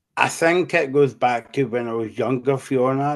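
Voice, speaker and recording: A Scottish accent marks the speech. It unfolds at a moderate pace. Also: man. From Scotland. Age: 40s. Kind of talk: interview. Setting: podcast. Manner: halting, many fillers.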